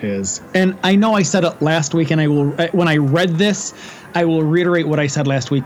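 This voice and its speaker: A man's fairly quick speech shows ordinary pitch variation, with noticeable noise in the background. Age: 40s. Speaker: podcast host. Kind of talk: casual chat.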